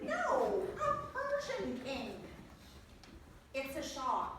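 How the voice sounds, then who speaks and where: A woman uses a put-on character voice at a very slow pace. Clear background noise and a strong echo surround her. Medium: stage play. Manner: prim.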